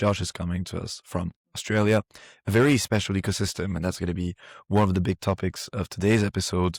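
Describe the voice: A man puts on a raspy character voice, fairly low in pitch and fairly even in intonation. He talks at a very fast pace in a dry, close sound with no echo.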